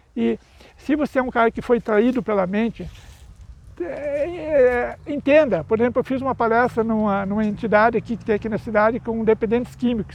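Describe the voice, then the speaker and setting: A man speaks at a fairly quick pace with an extremely high pitch and ordinary pitch variation. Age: 60s. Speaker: YouTuber and speaker on mental health. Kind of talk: casual vlog monologue. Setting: outdoors. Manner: halting, with self-corrections.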